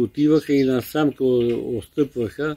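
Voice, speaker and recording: With a dark, mellow tone and fairly even intonation, a man speaks at a fairly high pitch, the sound dry and close with no echo. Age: 80s+. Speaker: World War II era eyewitness. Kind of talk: oral history interview answer.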